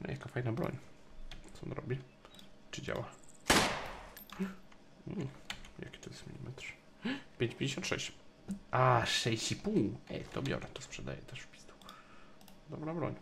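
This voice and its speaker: Speaking at a fairly slow pace with long, frequent pauses, a man shows ordinary pitch variation and big swings in loudness over light background noise. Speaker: game streamer. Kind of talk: casual gameplay commentary. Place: home room. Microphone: studio mic.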